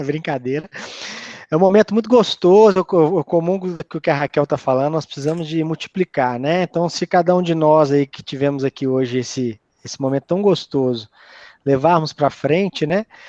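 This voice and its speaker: A man with a Minas Gerais accent talks at a moderate pace, his pitch fairly high and ordinary in variation. His tone is dark and mellow, and the sound is dry and close with no echo over a quiet background. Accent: Minas Gerais Brazilian Portuguese. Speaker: university professor, speaker. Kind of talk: closing remarks at online talk.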